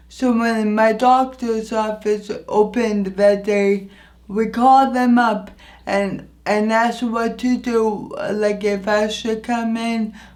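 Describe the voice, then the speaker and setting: Against audible room echo, a woman with a fairly high voice speaks very slowly in a flat monotone. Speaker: vlogger. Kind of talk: personal storytelling vlog. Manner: halting, some repeated words.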